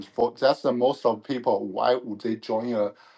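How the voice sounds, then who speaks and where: With a non-native accent, a man talks at a medium pitch and a fairly slow pace. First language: not English. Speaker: panel speaker. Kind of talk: panel discussion. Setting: online audio room. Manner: halting.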